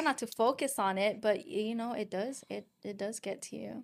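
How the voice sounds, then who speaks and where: On a very clean recording with a silent background, a woman with a Filipino accent speaks at a fairly high pitch. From Philippines and Guam. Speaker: podcast host. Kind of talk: casual chat.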